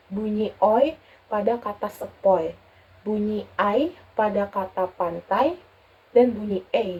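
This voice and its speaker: At a very slow pace, the voice moves with ordinary pitch variation. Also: woman. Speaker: university student. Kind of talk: class presentation. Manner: explanatory, steady.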